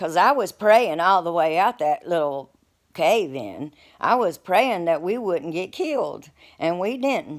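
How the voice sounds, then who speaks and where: A woman with an Appalachian accent, fairly low in pitch with very wide pitch swings, at a fairly slow pace, on a very clean recording with a silent background. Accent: Appalachian Southern US. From Appalachian Virginia, US. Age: 60s. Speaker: storyteller. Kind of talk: personal storytelling. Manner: casual, halting with repeats.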